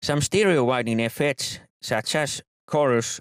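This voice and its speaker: A man with a non-native accent speaks at a fairly slow pace and a medium pitch. The sound is dry and close with no echo, and the recording is very clean against a silent background. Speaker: music production tutor. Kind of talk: tutorial.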